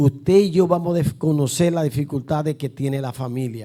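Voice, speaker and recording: A man with a Dominican accent, fairly high-pitched for a man, dark and mellow in tone, with ordinary pitch variation and a moderate pace. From Dominican Republic. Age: 60s. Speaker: pastor. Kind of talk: sermon. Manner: emphatic.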